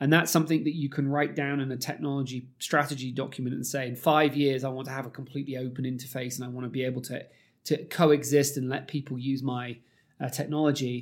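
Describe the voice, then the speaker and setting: With a British accent, a man talks very fast at a medium pitch. His intonation stays monotone and flat. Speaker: technology executive. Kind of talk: casual interview conversation. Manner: halting, filler-heavy.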